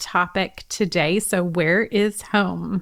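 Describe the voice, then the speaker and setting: This woman's pitch is medium and her intonation fairly even. The background is silent in a very clean recording. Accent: American. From California. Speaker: podcast host. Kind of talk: casual interview chat.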